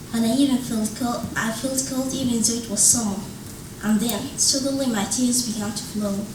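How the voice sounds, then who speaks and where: A woman talks at a moderate pace with ordinary pitch variation. Audible room echo and noticeable background noise are present. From Sudan. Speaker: English-language student and author. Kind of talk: reading aloud.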